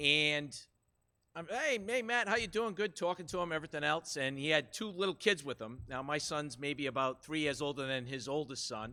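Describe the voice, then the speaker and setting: A man talks loudly and at a moderate pace in a fairly high, bright, sharp voice with lively intonation. The recording is very clean, with a silent background. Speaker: high school golf coach. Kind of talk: public speech at meeting. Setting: school committee meeting. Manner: animated.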